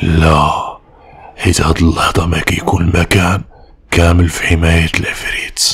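A man puts on a character voice, pitched very deep and low, and talks fairly slowly. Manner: sly, calm.

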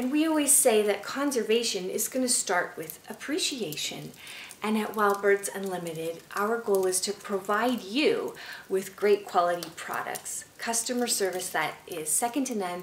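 Light background noise and audible room echo around a woman's moderate-paced speech. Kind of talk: informal educational talk. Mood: warm, cheerful, friendly. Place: home room.

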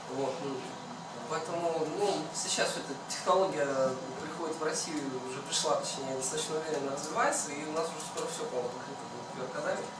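A man's fairly quick speech, with loud background noise and audible room echo. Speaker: hackathon participant. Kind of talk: project presentation. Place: meeting room. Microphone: camera far.

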